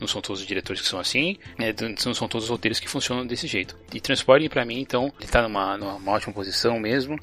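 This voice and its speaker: Over background music, a man talks very fast in a medium pitch with ordinary variation. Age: 30s. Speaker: podcast host. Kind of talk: casual chat. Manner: halting.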